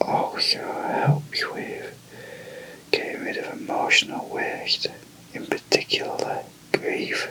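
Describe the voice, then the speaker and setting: A man whispers at a very slow pace, leaving long, frequent pauses. His loudness swings widely, and background noise is noticeable. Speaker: massage therapist. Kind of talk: ASMR massage explanation. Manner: whispered, soft-spoken.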